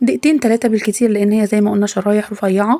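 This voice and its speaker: Speaking at a fairly quick pace, a woman with an Egyptian accent shows ordinary pitch variation. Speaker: cooking channel host. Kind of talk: cooking tutorial.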